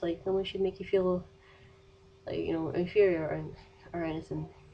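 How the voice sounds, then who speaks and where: A woman with a Scottish accent and a medium pitch speaks at a fairly quick pace. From Scotland. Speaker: vlogger. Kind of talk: casual vlog advice rant. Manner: fast.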